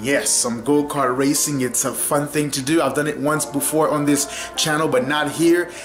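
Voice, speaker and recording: Clear music plays in the background while the speech moves at a moderate pace. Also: man. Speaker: vlogger. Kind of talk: casual vlog chat. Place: kitchen. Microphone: phone near.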